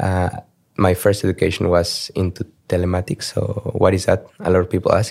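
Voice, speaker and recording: Very deep, low male voice, moderate in pace. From Mexico City. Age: 30s. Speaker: tech lead. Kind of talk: interview.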